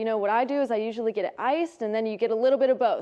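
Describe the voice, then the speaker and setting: Speaking very fast at a high pitch, a woman sounds upbeat in tone, with a dark, mellow tone as well. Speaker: news anchor and reporter. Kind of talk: TV news reporter read. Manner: upbeat, friendly.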